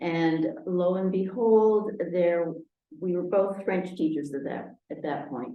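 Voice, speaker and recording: The speech moves at a very slow pace with ordinary pitch variation, and audible room echo can be heard. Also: woman, fairly low pitch for a woman. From Argentina, Buenos Aires; US Northeast from age seven. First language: Spanish. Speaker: retired French teacher, local resident. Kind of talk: oral history interview. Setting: town hall recording over video call equipment. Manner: hesitant, many fillers.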